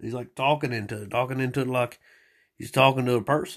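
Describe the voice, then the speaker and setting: A man talks at a moderate pace with a Southern US accent. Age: 40s. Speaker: former teacher, solo podcaster. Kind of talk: casual rambling monologue, profane. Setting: home recording, solo. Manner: rambling, crude, halting.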